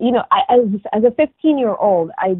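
In a dry, close recording with no echo, a woman speaks with an American accent and lively intonation.

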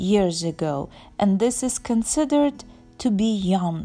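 A woman speaks at a very slow pace with a dark, mellow tone. Her voice is somewhat breathy, with ordinary pitch variation. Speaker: travel vlogger. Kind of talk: casual vlog chat. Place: open country. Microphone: phone near.

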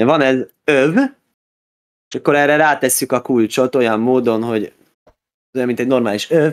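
The speaker keeps a moderate pace with long, frequent pauses and ordinary pitch variation. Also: man, very even loudness. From Budapest, Hungary. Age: 30s. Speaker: rabbi. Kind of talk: interview. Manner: halting, with repeated words.

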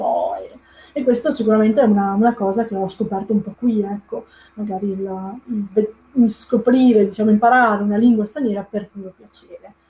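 There is light background noise as a woman speaks at a moderate pace. Her pitch is fairly high and her intonation fairly even. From Italy, Veneto (Padova province). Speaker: Italian language teacher. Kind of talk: live-stream talk. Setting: live online video stream. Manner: hesitant, many fillers. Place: home room. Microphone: webcam.

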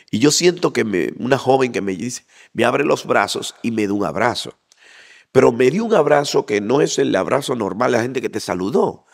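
Against a quiet background, a man speaks at medium pitch with lively intonation. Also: moderate pace. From Dominican Republic, Santo Domingo and Bonao; Dominican Republic. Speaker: interview guest. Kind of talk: interview testimony. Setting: church association facility. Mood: animated, heartfelt testimony. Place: hall. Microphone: handheld.

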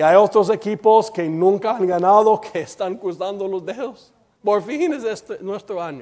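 A man with an English accent speaks at a moderate pace in a high pitch. His pitch variation is ordinary, and the background is quiet. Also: big swings in loudness. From United States. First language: English (speaking Spanish). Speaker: preacher. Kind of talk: sermon. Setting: church. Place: church.

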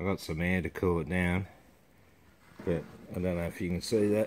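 Light background noise sits behind a man with a very deep, low pitch. His intonation runs fairly even. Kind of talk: casual vlog chat. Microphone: phone near.

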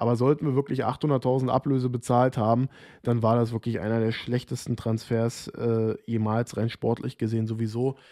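Flat, monotone intonation in a dark, mellow tone at a moderate pace over a quiet background. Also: man, medium pitch for a man. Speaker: football vlogger. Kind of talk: solo commentary video. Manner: informal, chatty, opinionated. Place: home room. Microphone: studio mic.

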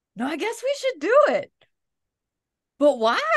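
This put-on character voice has an extremely high pitch and very wide pitch swings, delivered at a moderate pace.

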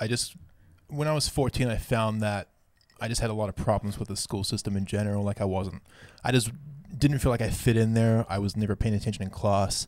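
Against a quiet background, a man with a New Zealand accent talks at a fairly quick pace, his fairly low voice showing ordinary pitch variation. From New Zealand, Auckland. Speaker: podcast co-host. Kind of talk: casual chat. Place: studio. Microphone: studio mic.

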